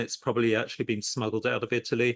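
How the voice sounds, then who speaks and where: A man talks with a plain, everyday voice. He keeps a fairly quick pace at medium pitch. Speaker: podcast host and art business lecturer. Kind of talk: podcast interview host.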